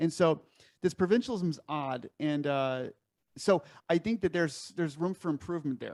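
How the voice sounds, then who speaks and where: A man with an American accent speaks at a fairly quick pace, his pitch varying in an ordinary way. The recording is very clean with a silent background, and the sound is dry and close with no echo. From Chicago, US Midwest. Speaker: podcast host. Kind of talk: casual interview chat.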